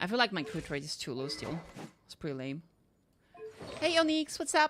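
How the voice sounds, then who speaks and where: A woman with a slight French accent speaks at a medium pitch, her voice making very wide pitch swings. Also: moderate pace. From France. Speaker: vtuber streamer. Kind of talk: casual gameplay livestream chat. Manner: casual, thinking aloud.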